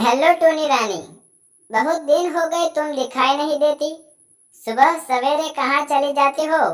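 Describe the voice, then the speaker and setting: This is a cartoonish character voice pitched high. It moves at a fairly slow pace. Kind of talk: children's cartoon voice. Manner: chatty, knowing.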